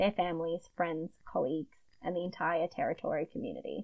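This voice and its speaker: A woman talks at a fairly quick pace with a medium pitch. She has a broad Queensland accent. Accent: Australian, broad Queensland. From Queensland, Australia. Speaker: podcast host, true crime storyteller. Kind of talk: casual chat with narrated case retelling.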